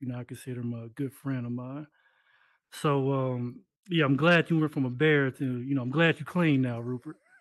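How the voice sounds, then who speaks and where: Over a quiet background, a man with a plain, everyday voice speaks at a medium pitch and a fairly quick pace. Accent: American. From US Midwest, Decatur Illinois. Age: 30s. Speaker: game developer. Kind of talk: interview talk on stage.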